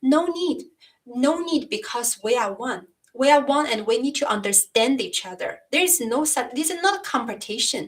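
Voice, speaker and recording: A high-pitched woman with a non-native accent, lively intonation, and a moderate pace. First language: Chinese. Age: 30s. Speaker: YouTuber discussing philosophy. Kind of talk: live stream chat. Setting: live stream. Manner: halting. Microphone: new microphone.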